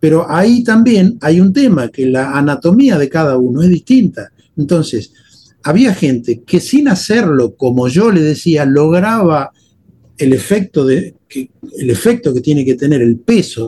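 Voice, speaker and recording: Speaking at a fairly slow pace, a man with a dark, mellow tone swings his pitch very widely. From Argentina, Buenos Aires suburbs (Temperley). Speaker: guitarist and composer. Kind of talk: casual interview conversation.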